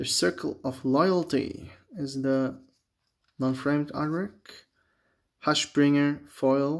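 Against a quiet background, a man with a non-native accent and a fairly high pitch speaks very slowly. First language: not English. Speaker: Magic: The Gathering booster opener, YouTuber. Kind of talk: casual video commentary while opening card packs. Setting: home video, talking to camera. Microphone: phone near.

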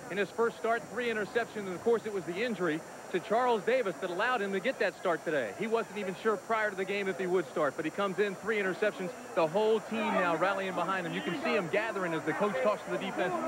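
A man's high-pitched voice at a very fast pace with ordinary pitch variation, dry and echo-free, amid noticeable background noise. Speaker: sideline reporter. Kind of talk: live sports commentary, sideline report. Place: stadium. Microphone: handheld.

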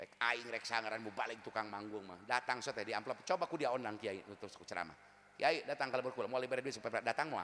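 Light background noise sits under a man who talks very fast in a bright, sharp tone, with big swings in loudness and ordinary pitch variation. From West Java, Tasikmalaya; West Java. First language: Sundanese (speaking Indonesian). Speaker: Islamic preacher. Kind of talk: sermon. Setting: religious gathering with audience. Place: stage. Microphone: handheld.

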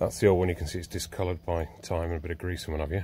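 The voice has a dark, mellow tone and is somewhat breathy. The sound is dry with no echo, over light background noise. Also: man. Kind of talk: tutorial. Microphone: phone near.

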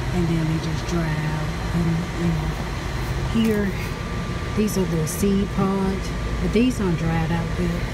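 Fairly slow speech against loud background noise. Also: woman. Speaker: home gardening vlogger. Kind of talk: casual vlog tutorial. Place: garden. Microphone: phone near.

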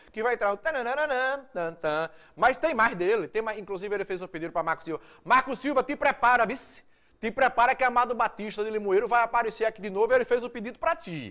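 A man's extremely high-pitched voice at a very fast pace, with lively intonation over a quiet background. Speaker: TV show host. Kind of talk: live TV presenting. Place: studio. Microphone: lapel.

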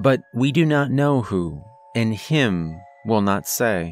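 The speech has lively intonation. Music plays in the background of a dry sound with no echo. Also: man. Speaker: horror story narrator. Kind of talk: story narration.

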